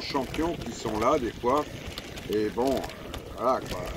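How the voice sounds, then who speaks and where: Over noticeable background noise, a man of medium pitch speaks at a fairly slow pace with ordinary pitch variation. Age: 70s. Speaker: vlogger and retired amateur cyclist. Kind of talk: casual vlog narration while cycling. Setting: outdoors on a bike ride. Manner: hesitant, many fillers.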